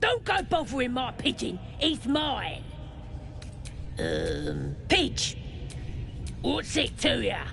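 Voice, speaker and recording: In a put-on character voice, the speaker goes at a very slow pace with long, frequent pauses over loud background noise. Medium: video game. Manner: coarse, casual.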